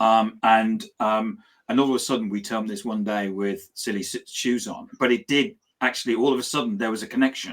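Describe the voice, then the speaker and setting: A man with a British accent talks at a fairly quick pace, his pitch medium and his intonation fairly even. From Britain. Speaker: business talk show host. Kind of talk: casual chat.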